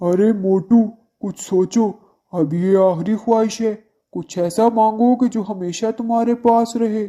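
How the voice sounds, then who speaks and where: The cartoonish character voice sits at a fairly high pitch. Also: fairly slow pace. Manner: theatrical, laughs grandly.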